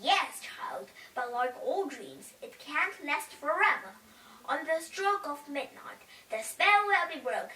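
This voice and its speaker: An extremely high-pitched put-on character voice from a woman. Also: fairly slow pace. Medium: read story. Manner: warm, motherly.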